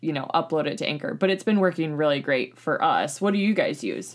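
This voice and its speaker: With vocal fry and a very deep, low pitch, a woman speaks at a very fast pace with lively intonation. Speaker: podcast host. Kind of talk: casual chat.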